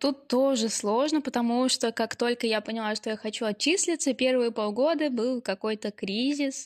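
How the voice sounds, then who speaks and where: A woman's fairly high voice with ordinary pitch variation at a moderate pace, dry and close with no echo, in a very clean recording with a silent background. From Ulyanovsk, Russia. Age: 20s. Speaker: podcast co-host, university student. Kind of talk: casual chat.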